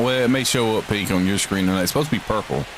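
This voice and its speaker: A fairly low-pitched man's voice with a Southern US accent and ordinary pitch variation, over noticeable background noise. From Georgia, US South. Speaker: gaming streamer. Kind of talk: live game commentary. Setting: live stream. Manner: casual, conversational.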